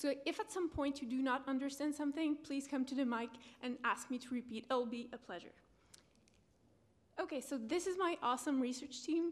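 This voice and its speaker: A high-pitched woman's voice with a slight French accent, fairly quick in pace, with ordinary pitch variation. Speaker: PhD researcher presenting. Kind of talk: conference presentation. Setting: conference room with audience.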